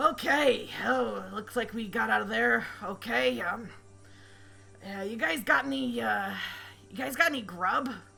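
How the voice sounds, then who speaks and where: A woman's put-on character voice at medium pitch, moderately paced, with long, frequent pauses. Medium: actual play. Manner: casual, offhand.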